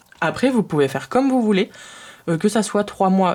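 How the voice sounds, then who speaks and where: Noticeable background noise runs under the recording. A woman speaks with lively intonation. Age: 20s. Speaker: personal finance youtuber. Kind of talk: tutorial. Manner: hesitant, many filler sounds.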